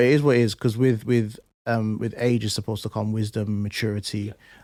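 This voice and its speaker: In a very clean recording with a silent background, a man with a London accent talks at a fairly quick pace, his dark, mellow tone set at a medium pitch. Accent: London English, multicultural youth speech. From East London, England. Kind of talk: casual interview chat.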